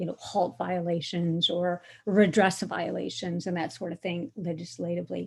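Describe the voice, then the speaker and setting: Woman's medium-pitched, somewhat breathy voice with an American accent at a moderate pace, on a very clean recording with a silent background. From United States. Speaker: author and human rights scholar. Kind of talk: lecture.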